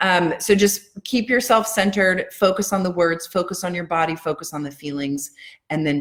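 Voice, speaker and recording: A woman speaks in a normal speaking voice, fairly low in pitch with ordinary pitch variation. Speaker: EFT tapping coach. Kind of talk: live-stream guided tapping session. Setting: live video stream at home.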